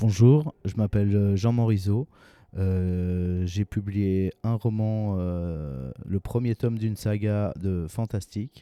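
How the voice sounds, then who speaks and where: Very slowly, a man speaks with a fairly low pitch, a dark, mellow tone and ordinary pitch variation, in a dry, close sound with no echo and a very clean recording against a silent background. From Switzerland, Geneva. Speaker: fantasy author. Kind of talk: interview. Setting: literary festival. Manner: halting, many hesitations.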